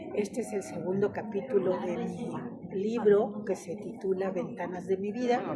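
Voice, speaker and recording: With noticeable noise in the background, the intonation stays fairly even. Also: woman, medium pitch for a woman, moderate pace. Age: 80s+. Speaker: oral storyteller. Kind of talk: oral storytelling talk. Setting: library event with audience. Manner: warm, conversational.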